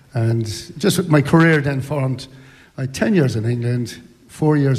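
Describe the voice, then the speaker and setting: A man with an Irish accent, ordinary pitch variation and a moderate pace. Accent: Irish (Sligo). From Ireland, Sligo. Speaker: retired footballer. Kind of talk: live interview at book launch. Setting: hotel ballroom with audience.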